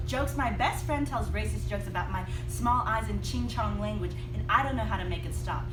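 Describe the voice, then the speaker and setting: Over music in the background, a woman with a very deep, low pitch speaks at a fairly quick pace. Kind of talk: slam poetry performance.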